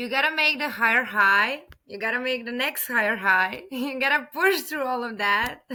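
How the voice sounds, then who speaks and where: A woman with a Serbian accent speaks at a moderate pace with hardly any pauses. Her pitch is high, with ordinary variation. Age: 30s. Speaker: podcast guest. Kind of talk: interview conversation.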